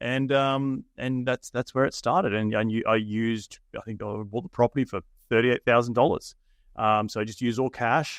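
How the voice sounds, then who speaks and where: A man with an Australian accent speaks at medium pitch and a moderate pace, his intonation fairly even. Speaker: real estate investor. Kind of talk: interview.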